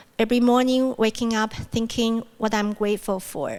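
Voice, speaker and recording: A woman with a Mandarin accent speaks at a moderate pace and a fairly high pitch, in a monotone, flat intonation. The recording is very clean, with a silent background. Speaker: university speaker. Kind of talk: plenary talk.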